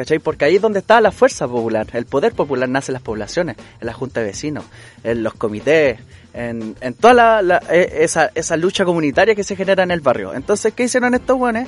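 The voice comes in a Chilean accent at a very fast pace. Its pitch swings very widely. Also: man, high pitch for a man. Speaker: social activist and character creator. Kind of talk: interview. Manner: halting.

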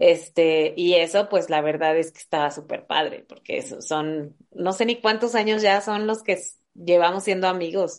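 A woman of medium pitch speaks at a fairly slow pace. Her loudness swings a lot while her pitch varies ordinarily. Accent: Mexican. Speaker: podcast host. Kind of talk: casual chat.

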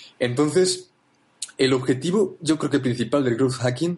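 Somewhat breathy, a man's voice comes through. His pitch varies in an ordinary way. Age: 20s. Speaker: marketer and university student. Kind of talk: interview. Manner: halting, many repetitions.

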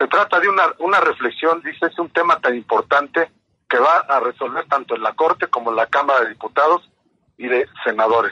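Dry and close with no echo, a man's fairly high voice carries lively intonation and a bright, sharp tone. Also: fairly quick pace. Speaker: reporter. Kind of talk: news report. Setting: phone call.

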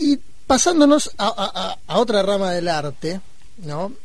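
A man's voice swings very widely in pitch, with audible room echo in the recording. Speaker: radio co-host. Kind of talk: radio talk show.

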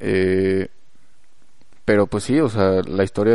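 A man with a Mexican accent speaks in a fairly low, dark, mellow voice against a quiet background. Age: 20s. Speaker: podcast host. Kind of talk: casual chat. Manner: halting.

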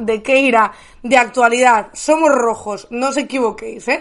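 A woman speaks at a fairly quick pace. Her high voice has an animated tone. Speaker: streaming news show host. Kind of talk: casual chat.

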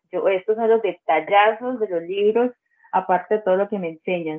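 A woman speaks at a moderate pace with ordinary pitch variation. Hers is an unremarkable speaking voice. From Colombia, Bajo Cauca region of Antioquia. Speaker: social communicator and literary apparel entrepreneur. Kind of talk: casual interview.

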